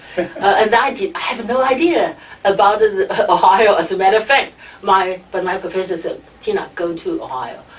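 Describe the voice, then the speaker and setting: Through noticeable background noise, a woman with a Chinese accent talks with very wide pitch swings. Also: medium pitch for a woman, moderate pace. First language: Mandarin Chinese. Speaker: radio station director. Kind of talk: interview. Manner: halting.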